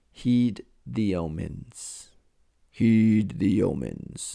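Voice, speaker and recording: This put-on character voice moves at a very slow pace with lively intonation. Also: man, fairly low pitch for a man. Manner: wise, solemn.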